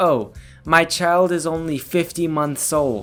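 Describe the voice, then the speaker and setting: A gravelly, put-on character voice at a middle pitch and fairly slow pace, with faint music in the background. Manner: exaggerated, mocking.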